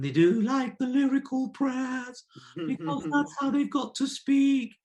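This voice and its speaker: Here a put-on character voice is used, pitched fairly high. Its pace is fairly slow. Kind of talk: posh, lyrical, formal. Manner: mocking.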